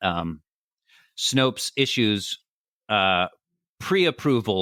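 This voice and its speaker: A man's bright, sharp tone, dry and close with no echo. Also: very clean recording, silent background. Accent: American. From California. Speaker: satire writer and comedy podcaster. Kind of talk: interview answer.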